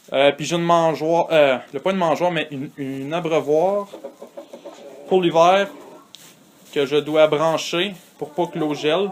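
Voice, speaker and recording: Amid noticeable background noise, a man with a Canadian French accent talks at a fairly slow pace and a fairly high pitch, with fairly even intonation and long, frequent pauses. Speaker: hobby farmer. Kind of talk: casual video tour. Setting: in a henhouse. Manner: hesitant, many filler sounds.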